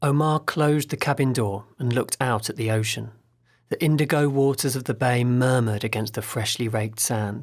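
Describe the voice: Ordinary pitch variation in plain reading aloud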